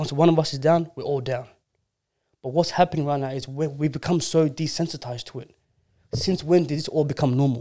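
The voice has a dark, mellow tone and fairly even intonation at a fairly quick pace. Its loudness swings widely. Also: man, fairly high pitch for a man. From Australia, Melbourne. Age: 20s. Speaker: community worker. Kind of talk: casual chat.

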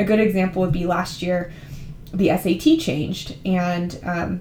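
With a Californian accent, a woman speaks at a medium pitch and with fairly even intonation. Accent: Californian American. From California, San Francisco Bay Area. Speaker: podcast host and university admissions advisor. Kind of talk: informational podcast monologue.

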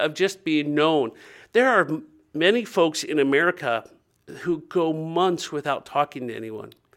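On a very clean recording with a silent background, a man with a fairly high pitch talks at a fairly slow pace with lively intonation. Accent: US Midwestern. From Ohio, US Midwest. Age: 50s. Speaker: nonprofit director and minister. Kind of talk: interview.

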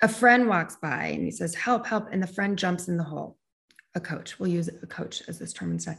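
The voice has vocal fry and lively intonation at a fairly quick pace. The background is quiet. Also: woman. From US Northeast, Connecticut suburbs of New York. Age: 40s. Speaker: life coach, former sales executive. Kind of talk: interview conversation.

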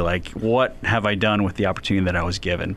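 Amid noticeable background noise, a man with an American accent talks at a fairly quick pace, his fairly low voice showing ordinary pitch variation. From US Northeast, West Philadelphia. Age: 40s. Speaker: business professor and author. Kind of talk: interview.

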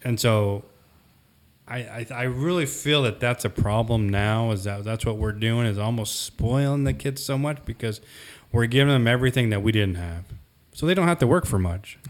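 This is an ordinary speaking voice. The recording is very clean, with a silent background. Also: man, medium pitch for a man, ordinary pitch variation, moderate pace. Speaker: podcast co-host. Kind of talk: casual panel discussion. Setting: studio, around a table.

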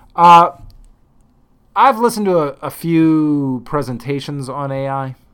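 This man has a normal speaking voice, speaking at a fairly slow pace with ordinary pitch variation and big swings in loudness. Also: fairly high pitch for a man. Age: 50s. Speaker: trading podcast host. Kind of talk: solo monologue. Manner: casual, with fillers.

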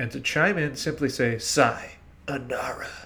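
A man speaks in a somewhat breathy voice whose pitch varies in an ordinary way. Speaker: podcast host. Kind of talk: casual chat. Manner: animated.

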